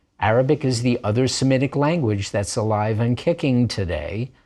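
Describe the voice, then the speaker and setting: A man's medium-pitched voice in an American accent, with ordinary pitch variation and a quiet background. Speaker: language teacher. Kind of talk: video lesson. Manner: clear, deliberate.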